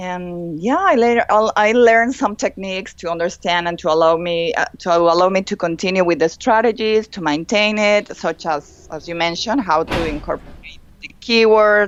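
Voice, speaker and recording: With hardly any pauses, a woman talks at a moderate pace, her pitch medium and its variation ordinary, over noticeable background noise. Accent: Spanish. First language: Spanish. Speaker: fashion consultant and blogger. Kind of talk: interview testimony.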